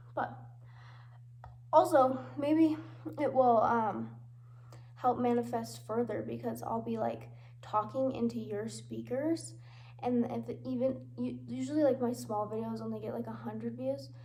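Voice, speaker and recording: Audible room echo surrounds fairly slow speech marked by long, frequent pauses. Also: woman. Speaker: vlogger. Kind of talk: casual vlog monologue. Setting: under a table at home.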